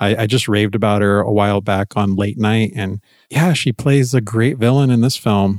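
A man with an unremarkable speaking voice, fairly low in pitch, with ordinary pitch variation. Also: moderate pace, very even loudness, very clean recording, silent background. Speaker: podcast host. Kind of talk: casual chat.

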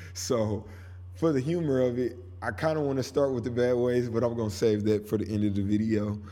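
Medium pitch from a man with an American accent, a dark, mellow and relaxed tone, ordinary pitch variation, a fairly quick pace and audible room echo. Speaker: podcast host, local music. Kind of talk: casual monologue. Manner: relaxed, conversational.

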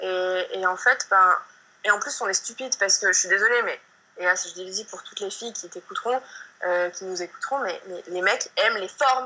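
At a moderate pace, a woman speaks in a medium pitch with ordinary pitch variation and big swings in loudness. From southern France, countryside. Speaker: yoga teacher and blogger. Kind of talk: casual interview. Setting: video call. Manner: halting, many repetitions and fillers.

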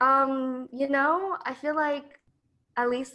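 The tone of this woman's voice is bright and sharp. She talks with an American accent. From Colorado. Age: 20s. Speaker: content creator and teacher. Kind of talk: casual interview.

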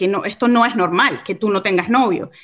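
A woman speaks at a moderate pace. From Venezuela, Caracas. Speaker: ministry leader. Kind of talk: testimony. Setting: studio.

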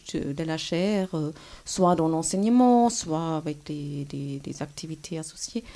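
This woman talks at a fairly slow pace with ordinary pitch variation. Her voice is fairly low in pitch, with a dark, mellow tone. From Germany. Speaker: history professor. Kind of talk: interview. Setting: university office. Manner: hesitant.

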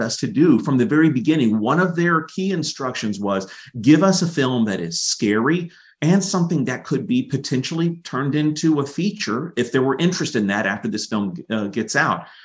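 An American-accented man with a fairly high pitch and very wide pitch swings, vocal fry, a fairly quick pace and hardly any pauses, over a quiet background. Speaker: filmmaker. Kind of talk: interview chat.

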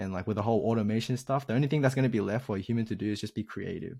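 On a very clean recording with a silent background, a man speaks in a medium pitch with a dark, mellow tone. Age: 20s. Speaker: YouTube coding tutor. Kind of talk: casual interview chat. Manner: animated.

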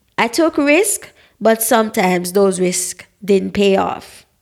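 The speaker talks at a fairly slow pace with vocal fry. Pitch variation is ordinary. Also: woman. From Jamaica, parish of Saint Mary. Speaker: podcast host, dietitian. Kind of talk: solo podcast monologue.

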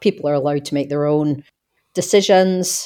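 In an Australian accent, a woman with a very deep, low, dark and mellow voice speaks at a moderate pace with fairly even intonation. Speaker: podcast co-host. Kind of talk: casual chat. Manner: hesitant, repeats words.

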